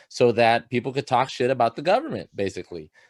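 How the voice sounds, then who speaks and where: A man's voice with ordinary pitch variation. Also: dry, close sound with no echo. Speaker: student newspaper editor. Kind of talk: staff meeting briefing. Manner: loud; casual with many fillers.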